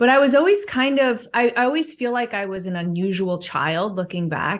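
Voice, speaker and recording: On a very clean recording with a silent background, a woman with an American accent has an ordinary speaking voice, ordinary pitch variation and a moderate pace. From Chicago, US Midwest. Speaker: wellness author and podcaster. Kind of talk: podcast interview.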